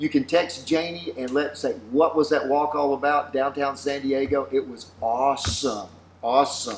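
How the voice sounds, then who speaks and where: A man with a Southern US accent speaks at a fairly high pitch with ordinary pitch variation. Noticeable background noise can be heard. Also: moderate pace. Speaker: pastor. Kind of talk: casual chat.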